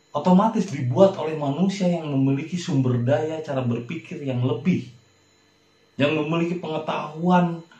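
A man talks at a moderate speed, his pitch varying in an ordinary way, with room echo clearly audible. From Indonesia, Sukabumi, West Java. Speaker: religious video talk host. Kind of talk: religious monologue.

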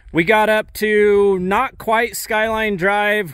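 The recording has a dry sound with no echo and a quiet background. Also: man. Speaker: dealership host filming. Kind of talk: casual vlog commentary. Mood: upbeat, promotional. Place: open country. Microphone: phone near.

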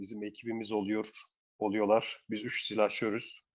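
Against a quiet background, a man talks at a moderate pace in a medium pitch. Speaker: betting tips channel host. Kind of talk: casual chat.

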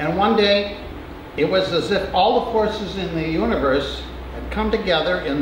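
With noticeable background noise and audible room echo, a man speaks at a moderate pace in a high pitch with ordinary pitch variation. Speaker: storyteller or performer. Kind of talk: personal storytelling monologue. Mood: reflective, emotional. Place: stage.

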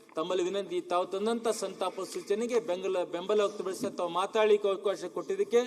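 Over noticeable background noise, a man speaks at a high pitch. His intonation stays fairly even. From Bidar district, north Karnataka (Bhalki). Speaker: legislator. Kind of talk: condolence speech in legislative assembly. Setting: legislative assembly chamber. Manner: formal.

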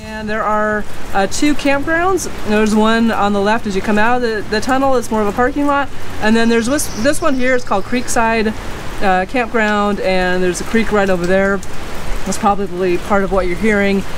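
Noticeable background noise sits under a woman's voice, which keeps a moderate pace and shows ordinary pitch variation. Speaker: travel vlogger. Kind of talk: casual vlog chat. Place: open country. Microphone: phone near.

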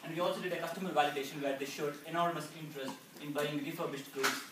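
A man talks at a very fast pace. There is loud background noise and audible room echo. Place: hall. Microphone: camera far.

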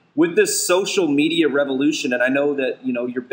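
Amid noticeable background noise, a man with a fairly high voice talks at a fairly quick pace. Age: 40s. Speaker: podcast co-host. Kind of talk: casual interview. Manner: animated.

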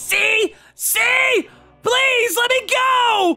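Someone is shouting while music plays in the background. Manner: cocky, then panicked pleading.

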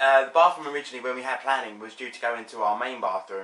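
A man at a very fast pace amid audible room echo. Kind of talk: casual vlog chat. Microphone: phone near.

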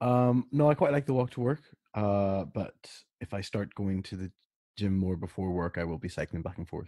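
On a very clean recording with a silent background and a dry, close sound with no echo, a man speaks in a dark, mellow tone with lively intonation. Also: fairly low pitch for a man, moderate pace. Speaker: podcast co-host.

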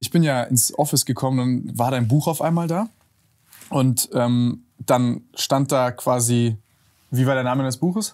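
A man with a normal speaking voice and medium pitch talks at a fairly slow pace with ordinary pitch variation over a quiet background. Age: 20s. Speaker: podcast host. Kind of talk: casual interview chat. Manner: casual, colloquial. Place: studio. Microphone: lapel.

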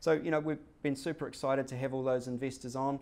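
This man speaks at a very fast pace in a medium pitch, keeping his intonation fairly even. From New Zealand, Hamilton; New Zealand. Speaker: company executive; presenter. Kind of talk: business presentation. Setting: stage with audience. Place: meeting room. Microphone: podium.

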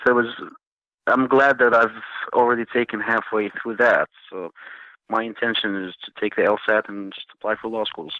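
Medium-pitched male voice with a Jordanian accent, a moderate pace and fairly even intonation. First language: Arabic. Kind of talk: interview conversation. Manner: halting, hesitant.

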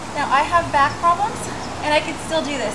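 Noticeable background noise can be heard. Over it, a woman talks. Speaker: fitness instructor. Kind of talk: tutorial. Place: garden.

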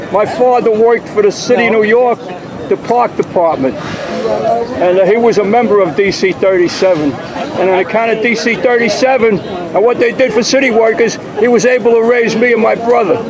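Over noticeable background noise, the speaker talks at a moderate pace with ordinary pitch variation. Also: man, high pitch for a man. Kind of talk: casual on-the-spot introductions and commentary. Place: street. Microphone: phone near.

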